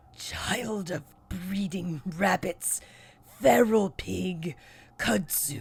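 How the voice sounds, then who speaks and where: In a put-on character voice, the speaker growls in a raspy way at a very slow pace, leaving long, frequent pauses. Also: female-sounding voice, medium pitch for a woman. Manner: halting, sneering.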